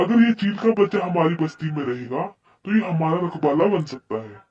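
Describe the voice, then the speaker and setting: A man performs a cartoonish character voice. It sits high in pitch and moves at a moderate pace. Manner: blunt, excitable.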